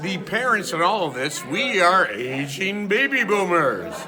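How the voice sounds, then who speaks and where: A man with an American accent speaks in a raised, projected voice at a high pitch and a fairly slow pace. The room echo is audible, and there is noticeable background noise. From US Midwest, west suburban Chicago. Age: 60s. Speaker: wedding guest, parent of the couple. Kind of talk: on-camera review interview.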